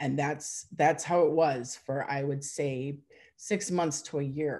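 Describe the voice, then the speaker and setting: With an Upper Midwest accent, a woman speaks at a fairly slow pace in a very deep, low voice with a dark, mellow tone. The background is quiet. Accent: Upper Midwest American. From Wisconsin. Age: 50s. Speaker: forum member sharing personal story; interviewee. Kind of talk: testimony. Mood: reflective, personal. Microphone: video call.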